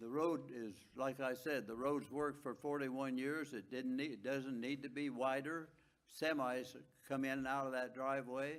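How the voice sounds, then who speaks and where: Delivered at a moderate pace with fairly even intonation, the speech has audible room echo. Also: man, medium pitch for a man. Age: 90s. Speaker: public commenter, property owner. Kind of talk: public comment at council meeting. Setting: city council meeting.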